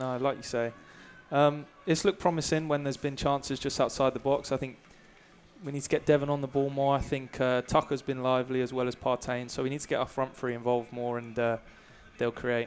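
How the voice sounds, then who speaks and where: Fairly even in intonation, a man speaks at a fairly quick pace and medium pitch. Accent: English. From England, Brighton. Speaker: college soccer player. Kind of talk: halftime interview. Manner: hesitant, many fillers.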